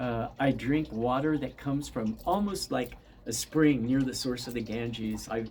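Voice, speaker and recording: The tone is dark and mellow. Pace is moderate, with ordinary pitch variation. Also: man. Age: 70s. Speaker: yoga teacher and spiritual teacher. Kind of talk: casual monologue to viewers.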